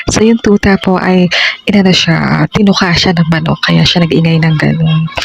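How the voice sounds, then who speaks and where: Behind the audio is noticeable background noise. A woman whispers, keeping a moderate pace. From Philippines. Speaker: vlogger. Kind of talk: casual vlog voiceover. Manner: whispered.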